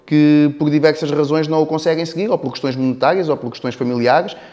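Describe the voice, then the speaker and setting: A man with a European Portuguese accent. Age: 30s. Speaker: business owner. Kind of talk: interview. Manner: halting.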